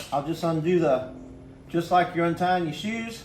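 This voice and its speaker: A man speaks at a very slow pace and high pitch, with ordinary pitch variation. Noticeable background noise runs underneath. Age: 60s. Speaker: hunter. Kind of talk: tutorial. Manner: casual, halting with fillers.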